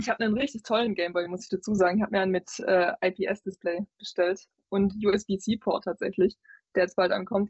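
A woman with a Swabian accent talks at a moderate pace, somewhat breathy, with fairly even intonation. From Swabia, southern Germany. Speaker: video game journalist. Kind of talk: casual chat.

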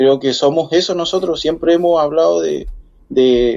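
The man speaks with fairly even intonation. His pace is fairly slow. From Chile, far south (Puerto Williams). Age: 40s. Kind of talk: interview. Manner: halting.

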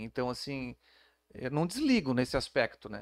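A man at a moderate pace with very wide pitch swings, on a very clean recording with a silent background and a dry, close sound with no echo. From Santa Catarina, Brazil (Florianópolis). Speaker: police chief. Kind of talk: interview. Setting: studio. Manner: calm, measured.

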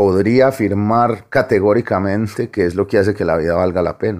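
A man speaks with an Antioquian accent. His pitch sits fairly low. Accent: Antioquian Colombian Spanish (paisa). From Medellín, Colombia (Aranjuez). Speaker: novelist. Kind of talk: interview.

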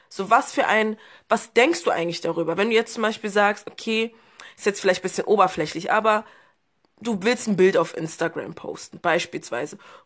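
A woman's unremarkable speaking voice, medium in pitch, with lively intonation against a quiet background. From Berlin, Germany. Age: 20s. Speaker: podcast guest. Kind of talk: casual chat.

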